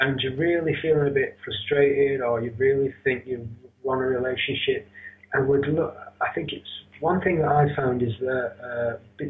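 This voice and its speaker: Fairly high-pitched male speech in a Northern English accent, fairly even in intonation and moderate in pace, over noticeable background noise. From Rochdale, north of England. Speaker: yoga teacher and internet radio host. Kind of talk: interview answer.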